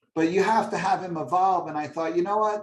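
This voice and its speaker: Using a normal speaking voice, a man with an American accent talks at a fairly quick pace with ordinary pitch variation. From New York area. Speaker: stand-up comedian, orthodontist and author. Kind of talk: interview. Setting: video call.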